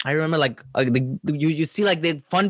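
A man talks with a Spanish accent. The sound is dry and close, with no echo. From Chile. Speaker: stand-up comedian. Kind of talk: casual chat. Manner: halting.

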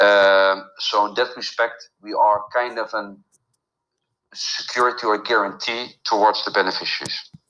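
A man's fairly low voice with a bright, sharp tone, moderate pace and monotone, flat intonation. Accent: Dutch. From Netherlands. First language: Dutch. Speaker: film finance consultant. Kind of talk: interview. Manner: halting, many fillers.

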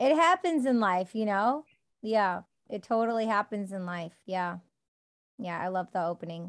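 A woman's medium-pitched voice in a Midwestern American accent, fairly slow, with lively intonation and long, frequent pauses. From US Midwest, Detroit suburbs, Michigan. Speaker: poet and actress. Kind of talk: casual interview chat.

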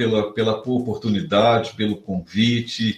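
A man speaking over noticeable background noise. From Rio de Janeiro, Brazil. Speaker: professor of entrepreneurship. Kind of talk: interview conversation.

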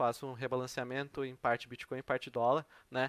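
A man's fairly high voice comes through a very clean recording with a silent background and a dry, close sound with no echo. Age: 20s. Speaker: economics student and crypto trader. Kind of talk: interview. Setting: live stream. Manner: halting, many fillers.

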